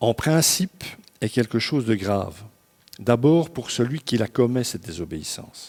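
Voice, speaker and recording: This man speaks at a fairly slow pace with lively intonation. His pitch sits in the medium range. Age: 60s. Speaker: pastor. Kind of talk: sermon. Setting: church service. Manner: conversational, informal asides.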